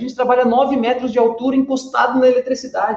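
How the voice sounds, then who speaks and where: Talking at a very fast pace, a man speaks in an extremely high pitch, with audible room echo. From western Santa Catarina, Brazil. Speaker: workplace safety trainer. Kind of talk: casual chat. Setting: auditorium.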